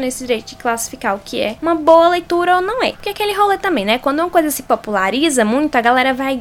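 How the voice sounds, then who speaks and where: A woman's lively intonation and fairly quick delivery come through noticeable background noise. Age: 20s. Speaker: podcast host. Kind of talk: solo podcast monologue. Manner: animated.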